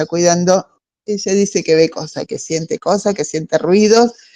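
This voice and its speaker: Speaking in an Argentine accent, a woman has a dark, mellow tone and ordinary pitch variation, recorded with a dry, close sound and no echo. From Argentina, Patagonia. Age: 60s. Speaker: book club member. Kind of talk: casual discussion. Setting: video call. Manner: halting.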